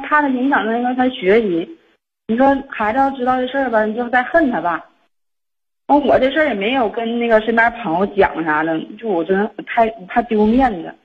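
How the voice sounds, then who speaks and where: Her intonation is lively, and this woman's pitch sits fairly high for a woman. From Liaoning, northeast China (Xinmin). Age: 30s. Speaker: caller seeking advice. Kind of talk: phone-in advice call. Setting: phone call. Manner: fast-talking.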